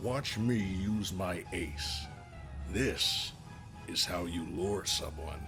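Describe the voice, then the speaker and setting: Over loud music in the background, a man does a put-on character voice, very deep and low, at a very slow pace. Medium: read story. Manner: smooth, condescending.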